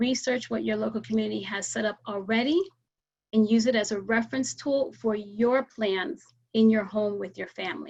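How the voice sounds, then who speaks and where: Pitch moves in an ordinary way. There is a somewhat breathy quality. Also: woman, fairly high pitch for a woman, moderate pace. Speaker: emergency preparedness educator. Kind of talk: presentation with slides.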